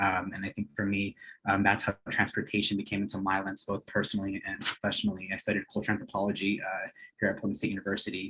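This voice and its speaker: Speaking very fast, a man uses a fairly low pitch. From US West Coast (East Los Angeles). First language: Spanish. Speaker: nonprofit coordinator. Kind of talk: webinar presentation. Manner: hesitant, many fillers.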